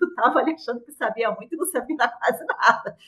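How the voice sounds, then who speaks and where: With a Rio de Janeiro accent, a woman talks in a lively, varied intonation. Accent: Carioca Brazilian Portuguese. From Brazil, Rio de Janeiro. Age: 40s. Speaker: product manager. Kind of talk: casual interview.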